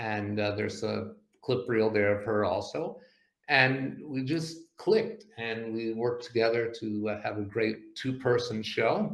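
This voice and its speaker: Fairly slow, medium-pitched speech from a man, with room echo audible. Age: 60s. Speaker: comedy magician. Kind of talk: casual chat. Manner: halting, many fillers.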